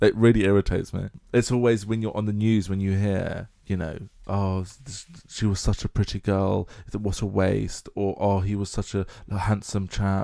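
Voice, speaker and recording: Speaking with an English accent, a man has a dark, mellow tone, a fairly low pitch and monotone, flat intonation in a very clean recording with a silent background. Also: moderate pace. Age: 20s. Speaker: podcast co-host. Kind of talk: casual chat.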